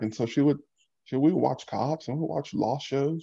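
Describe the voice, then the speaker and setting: A man with an American accent talks at a moderate speed, his tone dark and mellow. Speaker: social media creator, former college football player. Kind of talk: interview. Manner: articulate.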